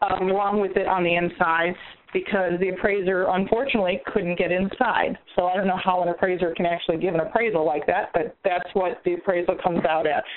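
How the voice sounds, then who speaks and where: With hardly any pauses, a woman talks at a fairly quick pace and very even loudness, her medium pitch kept to fairly even intonation. Noticeable background noise runs underneath. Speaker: real estate investor. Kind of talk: call-in question. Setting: phone call.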